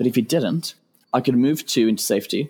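A man's speech shows ordinary pitch variation in a British accent. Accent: British, noticeable. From UK. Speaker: game tournament player. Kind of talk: casual podcast interview.

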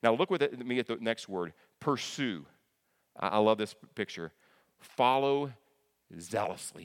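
Here a man speaks with lively intonation. The recording is very clean, with a silent background. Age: 50s. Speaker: church elder and preacher. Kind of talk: sermon.

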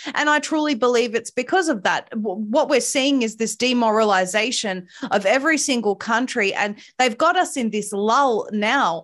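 A woman with an Australian accent speaks at a moderate pace in a fairly high pitch. The recording is very clean, with a silent background. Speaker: activist commentator. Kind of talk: interview. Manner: impassioned.

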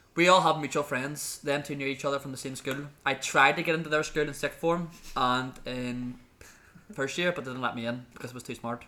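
A man's fairly high, bright and sharp voice in a Belfast accent, with fairly even intonation at a fairly quick pace. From Northern Ireland, Belfast. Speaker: podcast co-host, graduate. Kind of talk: casual chat.

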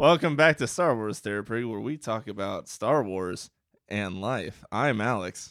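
An unremarkable speaking voice at a fairly slow pace, lively intonation, and a very clean recording with a silent background. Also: man, medium pitch for a man. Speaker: podcast co-host.

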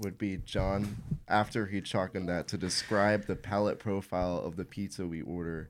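Over music in the background, a man speaks at a moderate pace in a fairly low pitch with fairly even intonation. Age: young. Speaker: band keyboardist, college student. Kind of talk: casual interview chat.

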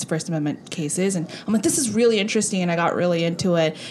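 Fairly even intonation is heard over noticeable background noise. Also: woman. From Southern California, Korean American (born in South Korea). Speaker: podcast co-host. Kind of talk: casual chat.

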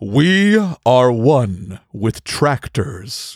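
This very clean recording, with a silent background and a dry, close sound with no echo, has a man doing a put-on character voice at medium pitch with very wide pitch swings. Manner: calm, serene.

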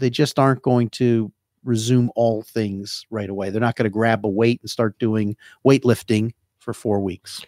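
A man with a New Jersey accent speaks at a moderate pace, with a medium pitch, a dark, mellow tone and monotone, flat intonation, in a dry, close sound with no echo. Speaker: hand surgeon. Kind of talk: casual radio interview. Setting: radio studio.

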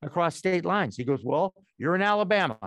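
Speaking at a fairly quick pace in an ordinary speaking voice, a man with an American accent shows ordinary pitch variation, recorded with a dry, close sound with no echo over a quiet background. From Massachusetts, Boston area. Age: 60s. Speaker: former sportscaster, media founder. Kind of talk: interview.

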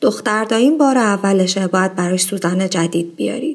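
A woman has a plain, everyday voice with lively intonation. She speaks at a moderate pace. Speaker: podcast host. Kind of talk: personal storytelling monologue.

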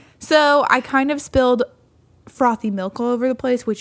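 At a fairly quick pace, a woman with an American accent talks at a high pitch. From California. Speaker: podcast co-host. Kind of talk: casual chat. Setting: home studio. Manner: laughs often.

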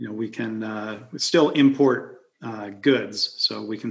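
In an unremarkable speaking voice, a man talks at a fairly low pitch with fairly even intonation. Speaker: podcast host. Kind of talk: casual chat over whiskey. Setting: video call.

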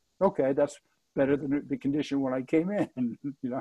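Talking at a fairly quick pace, a man keeps his pitch in the medium range. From New Jersey. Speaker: non-profit president, retired manufacturing executive. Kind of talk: interview. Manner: halting, many repetitions.

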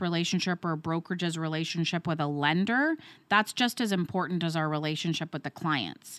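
On a very clean recording with a silent background and a dry, close sound with no echo, a woman with a Canadian accent speaks in a plain, everyday voice at a fairly low pitch, a fairly quick pace and with ordinary pitch variation. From Ontario, Canada. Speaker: mortgage brokerage owner. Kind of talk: interview.

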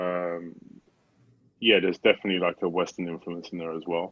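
A man with a British accent. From UK. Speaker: animator and studio co-founder. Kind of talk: casual interview.

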